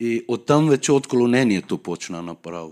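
At a fairly slow pace, a man speaks with a Persian accent and lively intonation at a medium pitch. The recording is very clean, with a silent background. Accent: Persian accent in Bulgarian. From Iran, Tehran. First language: Persian (speaking Bulgarian). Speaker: guest speaker sharing his conversion story. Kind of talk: testimony.

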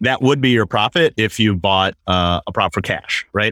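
A man talks in a normal speaking voice with an American accent. His pace is moderate and his pitch varies in an ordinary way. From Wisconsin, US Midwest. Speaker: real estate investor. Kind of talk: interview.

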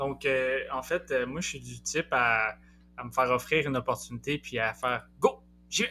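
Someone speaks in a Quebec accent at a moderate pace, with big swings in loudness. Music plays in the background. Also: man. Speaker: postdoctoral researcher in psychology. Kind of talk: interview podcast.

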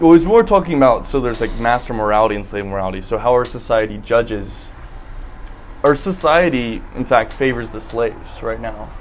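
Over music in the background, a man with an American accent talks at medium pitch with lively intonation. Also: fairly quick pace. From South Carolina, Columbia. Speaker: podcast guest, former philosophy student. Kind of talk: casual chat. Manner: halting.

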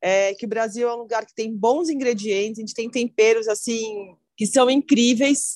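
A woman's normal speaking voice, fairly high in pitch, at a moderate pace. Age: 40s. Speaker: chef. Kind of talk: casual interview.

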